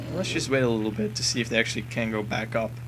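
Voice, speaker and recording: A man's medium-pitched voice at a fairly quick pace, with audible room echo and music in the background. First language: not English. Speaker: gaming commentator. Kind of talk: game walkthrough commentary. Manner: casual, with fillers.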